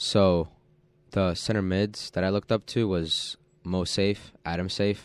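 A man's plain, everyday voice, fairly low in pitch, at a moderate pace on a very clean recording with a silent background. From US, child of Polish immigrants. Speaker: college soccer player. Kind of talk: radio interview. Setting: radio studio.

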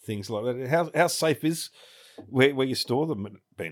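With an Australian accent, a man speaks at medium pitch and a moderate pace. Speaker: podcast co-host. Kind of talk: casual interview chat.

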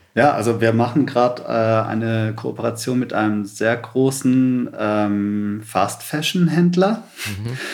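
His pitch is medium, with ordinary variation, and he speaks at a very slow pace. Noticeable background noise sits behind the man's voice. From Stuttgart area, Germany (born in Sri Lanka, moved at four). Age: 30s. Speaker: environmental activist, founder of a cleanup network. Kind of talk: podcast interview.

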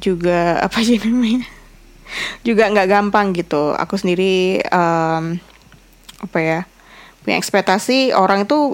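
At a fairly slow pace, a woman speaks with long, frequent pauses. Her medium pitch varies an ordinary amount. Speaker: podcaster and content creator. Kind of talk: solo casual vlog-style podcast. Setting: bedroom.

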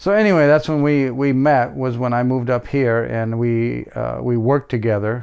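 A man's medium-pitched voice at a moderate pace, with hardly any pauses, ordinary pitch variation and a plain, everyday voice. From US Midwest, military family, Missouri. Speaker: host's father. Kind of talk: interview.

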